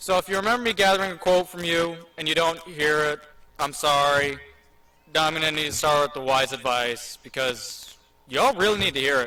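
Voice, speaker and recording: Someone with an American accent talks at a fairly quick pace with ordinary pitch variation amid noticeable background noise. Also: man, fairly high pitch for a man. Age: 18. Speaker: graduating student speaker. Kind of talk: commencement speech. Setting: stage with audience.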